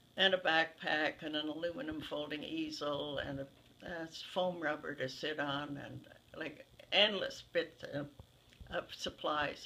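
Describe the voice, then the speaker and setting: A woman's very deep, low voice with a bright, sharp tone, ordinary pitch variation and a fairly slow pace. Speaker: interviewee. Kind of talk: interview answer. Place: home room.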